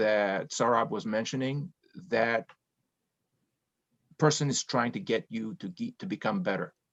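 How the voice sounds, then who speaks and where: The speaker has a non-native accent, and the sound is dry and close with no echo. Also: man. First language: not English. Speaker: public speaking club member. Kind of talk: panel discussion.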